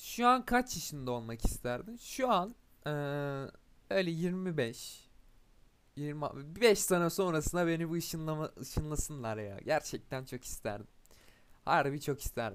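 Fairly high for a man, his voice moves through very wide pitch swings at a fairly slow pace. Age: 20s. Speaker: podcaster. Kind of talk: casual monologue. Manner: hesitant with fillers.

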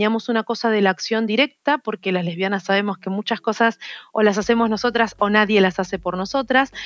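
A woman with a normal speaking voice talks at a fairly quick pace and fairly high pitch with ordinary pitch variation, in a dry, close sound with no echo. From Argentina, Rosario. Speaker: activist and biologist. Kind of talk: interview.

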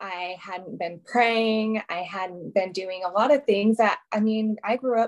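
A woman with a plain, everyday voice speaks at a moderate pace and a fairly high pitch, with ordinary pitch variation. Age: 30s. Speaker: entrepreneur and coach. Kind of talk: casual chat. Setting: video call.

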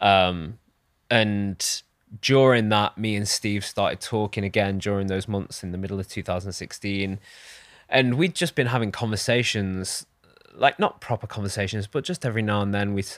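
Dry and close with no echo, this very clean recording on a silent background has a man speaking at a fairly low pitch in a British accent. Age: 30s. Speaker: personal branding agency founder. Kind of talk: podcast interview. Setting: studio.

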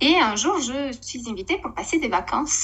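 A woman's fairly slow speech with lively intonation. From Romania. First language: Romanian (speaking French). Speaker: network marketing leader, former TV presenter. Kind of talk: casual interview chat.

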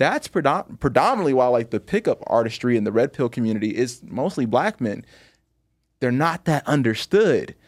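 Speaking at a moderate pace, a man makes very wide pitch swings in a dry, close sound with no echo. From Chicago. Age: 20s. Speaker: magician. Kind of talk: casual roast-style chat. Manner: confident, cocky.

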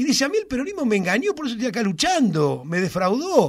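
Heard on a very clean recording with a silent background, a man with a Rioplatense accent speaks with very wide pitch swings. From Argentina, Buenos Aires south suburbs. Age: 60s. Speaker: social movement leader. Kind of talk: interview. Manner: halting.

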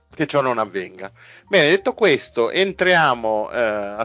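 Lively intonation marks a man's fairly slow speech. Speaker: podcast host. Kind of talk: casual chat. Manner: animated.

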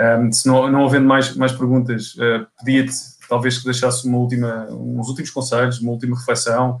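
The speaker has a European Portuguese accent and a fairly quick pace. The intonation stays monotone and flat. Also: man, medium pitch for a man. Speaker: podcast host for a property portal. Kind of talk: interview. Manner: halting.

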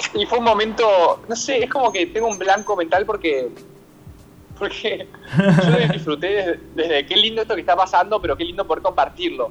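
Moderately paced speech from a man amid noticeable background noise. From Buenos Aires, Argentina. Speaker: stage actor. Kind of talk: interview. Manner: halting.

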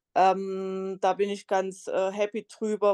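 Recorded with a dry, close sound and no echo, a woman speaks at a medium pitch. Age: 30s. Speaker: solo traveller and travel blogger. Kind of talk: interview. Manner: many filler sounds.

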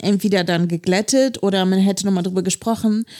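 In a very clean recording with a silent background and a dry, close sound with no echo, a woman speaks in a medium pitch with a dark, mellow tone and fairly even intonation. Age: 20s. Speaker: podcast co-host. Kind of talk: casual chat.

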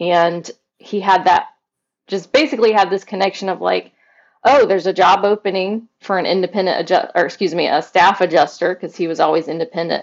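Talking at a fairly quick pace, a woman with an American accent uses a medium pitch and ordinary pitch variation. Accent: slight Southern, mostly hidden. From US South, Mobile, Alabama. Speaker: realtor and podcaster, trained singer. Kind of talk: interview conversation.

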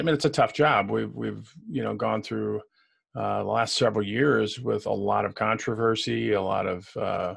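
A moderate pace with a Chicago-area accent, on a very clean recording with a silent background. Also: man. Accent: Chicago-area Midwestern American. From Illinois, US Midwest. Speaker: retired police commander and professor. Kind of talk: casual interview chat. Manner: friendly, conversational.

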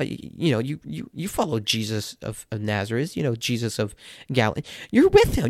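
Very fast speech with a dry, close sound and no echo. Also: man. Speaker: podcast host, Bible teacher. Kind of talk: solo Bible study talk. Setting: recording alone late at night. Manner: halting, many fillers.

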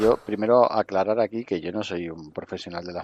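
Speaking at a fairly quick pace, a man with a fairly low voice is heard in a dry, close sound with no echo. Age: 50s. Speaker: wrestling coaching school director. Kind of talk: interview. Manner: halting.

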